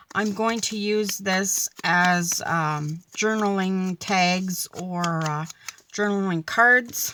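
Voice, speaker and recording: A woman talks at a very slow pace. Her intonation stays fairly even. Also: medium pitch for a woman. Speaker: papercraft and journaling YouTuber. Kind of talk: craft tutorial. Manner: halting, many fillers.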